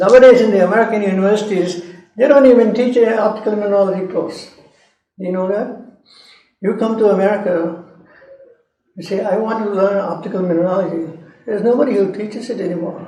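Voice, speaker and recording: Despite a very fast pace, this man leaves long, frequent pauses, his high-pitched voice fairly even in intonation and carrying audible room echo. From India, Madras (Chennai). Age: 80s+. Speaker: geology professor. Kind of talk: lecture.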